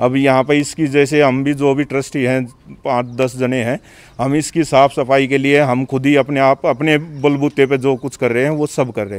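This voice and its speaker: At a moderate pace, a man speaks in a flat monotone at a fairly high pitch. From Delhi, India (village). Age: 40s. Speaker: temple trustee, villager. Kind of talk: interview. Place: open country. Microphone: handheld.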